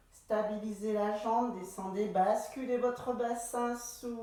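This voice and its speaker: A woman speaks very slowly in a calm tone, with fairly high pitch and fairly even intonation. Audible room echo and noticeable background noise surround her voice. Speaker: pilates instructor. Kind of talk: exercise class instruction. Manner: slow, calm guiding.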